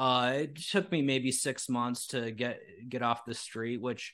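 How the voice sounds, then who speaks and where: A man with an American accent speaks fairly slowly in an unremarkable speaking voice, his medium pitch held in fairly even intonation, in a very clean recording with a silent background. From United States. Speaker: independent journalist. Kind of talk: casual chat. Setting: livestream interview.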